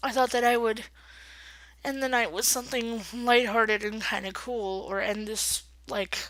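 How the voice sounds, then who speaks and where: At a moderate pace, a woman with a fairly high pitch speaks with fairly even intonation. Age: 30s. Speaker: vlogger. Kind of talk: casual vlog. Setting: at home, late at night. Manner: hesitant, many fillers.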